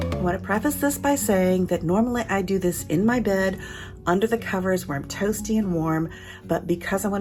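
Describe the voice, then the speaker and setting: Music plays in the background as a woman talks at a fairly quick pace, her fairly low pitch showing ordinary variation. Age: 60s. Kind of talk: fitness instruction. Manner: gentle, calm.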